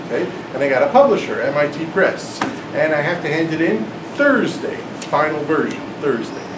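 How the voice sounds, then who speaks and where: The speech moves at a fairly quick pace with ordinary pitch variation and long, frequent pauses. Noticeable background noise and audible room echo are present. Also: man, fairly high pitch for a man. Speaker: math professor and author giving a talk. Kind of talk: lecture. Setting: classroom talk with live audience. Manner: loud, yelling over air conditioner.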